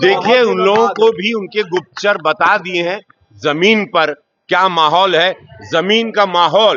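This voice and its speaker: Speaking with ordinary pitch variation, a man uses a high voice. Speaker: actor and politician. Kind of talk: media interview answer.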